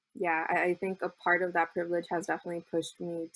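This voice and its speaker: A woman's fairly low voice at a fairly quick pace, very cleanly recorded over a silent background. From Southeast Los Angeles. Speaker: university student, DACA recipient. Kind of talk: podcast interview. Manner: hesitant, many fillers.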